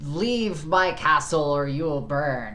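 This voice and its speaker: A booming, put-on character voice speaks at a fairly slow pace in a low-to-middle pitch. Echo is audible. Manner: menacing.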